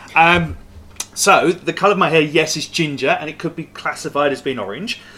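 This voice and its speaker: The man's fairly high voice comes through with noticeable background noise underneath. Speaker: podcast host and shop owner. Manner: chatty, joking.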